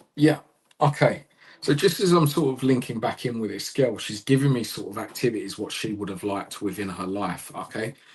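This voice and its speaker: A man's somewhat breathy, medium-pitched voice in a Cockney accent, fairly quick and lively in intonation, with big swings in loudness. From London, England. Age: 30s. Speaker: psychic medium. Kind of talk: live mediumship reading.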